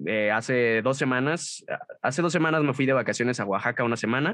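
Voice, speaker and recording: A man with a Mexican accent, medium in pitch with ordinary pitch variation, bright and sharp in tone, at a fairly quick pace. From Mexico, Guadalajara. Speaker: voice actor and narrator. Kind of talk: interview. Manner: casual.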